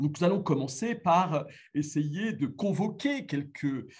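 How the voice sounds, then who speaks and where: Amid audible room echo, a man with a high pitch makes very wide pitch swings. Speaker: philosophy lecturer. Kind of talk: lecture. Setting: remote video link to conference. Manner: halting, many fillers.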